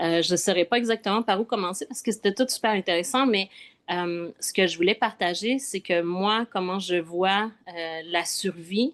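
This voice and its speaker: A woman speaks in a Quebec accent at a moderate pace and a medium pitch, with ordinary pitch variation. The sound is dry and close with no echo, against a quiet background. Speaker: spiritual travel guide. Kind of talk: casual chat. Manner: hesitant, many fillers.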